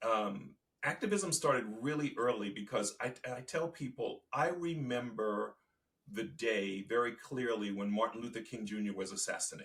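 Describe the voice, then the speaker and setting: Lively in intonation, a man with an American accent speaks at medium pitch and a moderate pace. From Virginia and Baltimore, US Mid-Atlantic. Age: 60s. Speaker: activist and storyteller. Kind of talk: interview. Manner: halting.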